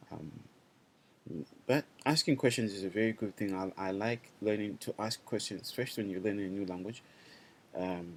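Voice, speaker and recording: With a Zimbabwean accent, a man with a fairly low voice talks at a fairly quick pace, with ordinary pitch variation and long, frequent pauses. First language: Shona. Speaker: language teacher. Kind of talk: online class. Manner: halting.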